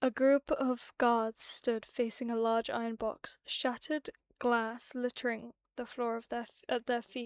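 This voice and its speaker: On a very clean recording with a silent background and a dry, close sound with no echo, a woman speaks at a high pitch and a fairly slow pace in a monotone, flat intonation. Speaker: streamer. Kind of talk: reading aloud. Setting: live stream. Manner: relaxed.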